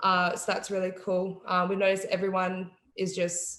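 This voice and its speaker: In an Australian accent, a woman speaks at a medium pitch and a moderate pace. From Tasmania, Australia. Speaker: college basketball player. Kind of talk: interview. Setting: video call.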